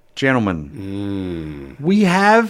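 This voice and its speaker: Very wide pitch swings mark this man's speech with an Australian accent. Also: very clean recording, silent background. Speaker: radio host. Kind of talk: radio dj patter. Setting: radio studio. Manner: animated, bright broadcast-style delivery with jokes.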